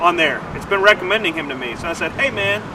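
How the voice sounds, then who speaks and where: A man talks at a fairly quick pace. Noticeable background noise runs beneath him. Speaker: nonprofit development officer. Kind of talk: livestream commentary. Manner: halting, stumbling over words.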